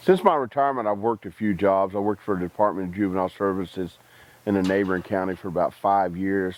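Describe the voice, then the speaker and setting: In a Texas accent, a man speaks at a very fast pace. His pitch is fairly low, with fairly even intonation. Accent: rural Texas. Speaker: army veteran. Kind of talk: interview testimony. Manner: halting.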